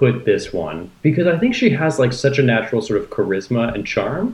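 A man with a fairly high, somewhat breathy voice talks at a moderate pace, his pitch swinging very widely. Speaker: podcast co-host. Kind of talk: casual chat.

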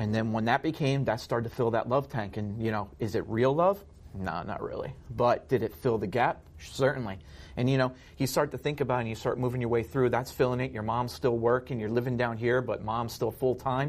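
A man with an American accent, a normal speaking voice at a medium pitch, fairly quick in pace, with ordinary pitch variation. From New Jersey (Ocean County). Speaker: guest sharing recovery testimony. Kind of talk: testimony.

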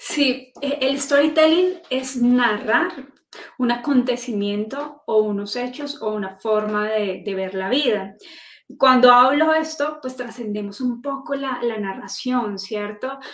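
Audible room echo surrounds a woman speaking very slowly in a high pitch with ordinary variation. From Colombia, Manizales (coffee region). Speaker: journalist and storytelling consultant. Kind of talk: interview. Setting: live stream.

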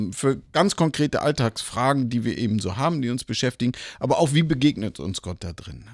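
A man speaks at a moderate pace. The recording is very clean with a silent background and a dry, close sound with no echo. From northern Germany, Lübeck. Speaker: church denomination leader. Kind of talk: interview conversation. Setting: live at a church conference. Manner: hesitant with filler sounds.

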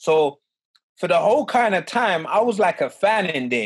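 A man talks at a moderate pace with a London accent. His pitch varies in an ordinary way. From West London, England. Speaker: professional boxer. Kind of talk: interview. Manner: casual, halting with fillers.

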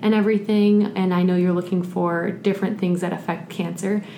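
Somewhat breathy, a woman talks at a medium pitch. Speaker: graduate student podcast co-host. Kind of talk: casual chat and interview.

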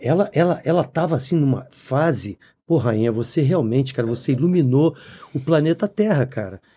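In a Rio de Janeiro accent, a man with a fairly high, somewhat breathy voice and a dark, mellow tone speaks at a moderate pace with lively intonation, on a very clean recording with a silent background. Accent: Carioca Brazilian Portuguese. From Brazil, Rio de Janeiro (Copacabana). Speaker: podcast co-host and musician. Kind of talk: casual chat. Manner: animated.

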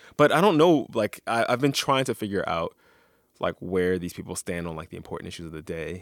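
The recording is very clean, with a silent background and a dry, close sound with no echo. A man with an American accent speaks at a fairly low pitch with very wide pitch swings. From Philadelphia, US. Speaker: radio journalist and podcast host. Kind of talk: casual chat.

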